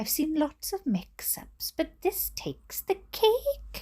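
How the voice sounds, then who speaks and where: A woman's put-on character voice at a fairly slow pace. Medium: read story.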